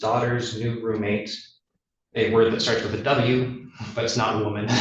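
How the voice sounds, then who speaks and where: A man's medium-pitched, somewhat breathy voice with audible room echo. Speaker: attorney for the defense. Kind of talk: legal argument in court. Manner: halting, many filler ums.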